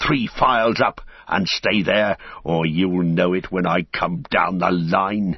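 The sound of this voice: A man shouts and growls slowly in a low put-on character voice with vocal fry and a slightly husky edge. His pitch variation is ordinary.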